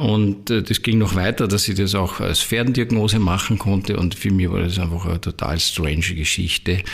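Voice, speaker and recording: A man with a fairly low pitch and a somewhat breathy voice talks at a moderate pace, with fairly even intonation and very even loudness. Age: 60s. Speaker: spiritual teacher. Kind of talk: interview. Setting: in his own premises.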